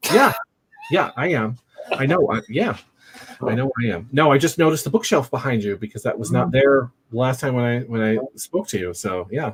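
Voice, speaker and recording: A man with a normal speaking voice talks at a moderate pace and medium pitch with lively intonation. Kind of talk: podcast host, casual talk.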